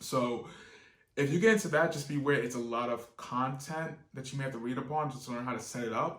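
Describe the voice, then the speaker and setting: A man's voice at a very fast pace, medium in pitch, with fairly even intonation and audible room echo. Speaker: online business youtuber. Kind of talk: tutorial. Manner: casual, with fillers.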